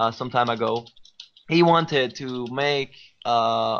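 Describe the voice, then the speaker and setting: With an Israeli accent, a man speaks at a medium pitch. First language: Hebrew. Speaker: musician. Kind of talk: podcast interview. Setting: live stream podcast. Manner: halting, many fillers and repetitions.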